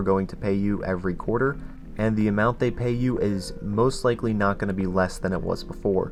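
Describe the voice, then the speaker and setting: Background music behind a man talking fairly quickly, his voice fairly low in pitch. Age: young. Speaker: finance YouTuber. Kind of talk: casual talk to camera.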